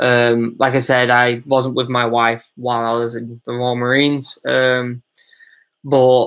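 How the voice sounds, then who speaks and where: With a Manchester accent, a man speaks at a medium pitch and a fairly slow pace in a monotone, flat intonation. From Manchester, England. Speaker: former Royal Marine, YouTuber. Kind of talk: live stream Q&A. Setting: live stream. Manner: casual, hesitant with fillers.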